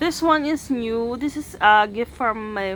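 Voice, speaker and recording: A woman's fairly high voice with lively intonation at a very slow pace, music in the background. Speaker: beauty vlogger. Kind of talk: makeup vlog. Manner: soft-spoken; casual Taglish code-switching.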